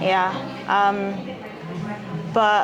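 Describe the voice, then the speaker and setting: A woman speaks with a British accent. Music plays in the background. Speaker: podcast host. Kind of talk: interview question.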